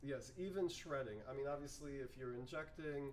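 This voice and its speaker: At a moderate pace, a man speaks with a medium pitch and fairly even intonation, with audible room echo. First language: not English. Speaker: plastic recycling workshop organizer. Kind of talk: online info session / tutorial. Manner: halting, with many fillers.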